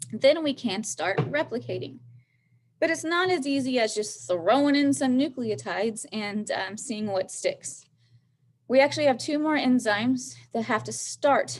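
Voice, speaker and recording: Vocal fry runs through a woman's fairly high voice. She moves at a moderate pace with very wide pitch swings. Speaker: biology teacher. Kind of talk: lecture.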